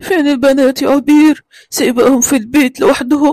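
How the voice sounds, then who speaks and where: A high-pitched cartoonish character voice at a moderate pace. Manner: gentle, affectionate.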